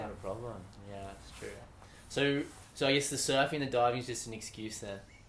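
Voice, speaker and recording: In an Australian accent, a man speaks with ordinary pitch variation and big swings in loudness. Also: medium pitch for a man. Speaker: English teacher. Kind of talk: casual interview conversation.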